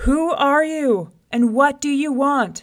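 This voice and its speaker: A female-sounding put-on character voice, high in pitch and raised and projected, moves at a fairly slow pace. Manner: loud, hollering, demanding.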